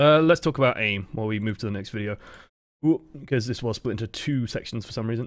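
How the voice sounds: A man speaks fast at a medium pitch with ordinary pitch variation. The recording is very clean, with a silent background.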